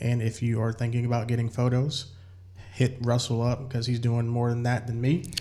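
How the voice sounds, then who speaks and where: A man talks at a fairly quick pace in a medium pitch, and his voice is somewhat breathy. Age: 40s. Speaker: podcast host. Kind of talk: casual interview chat.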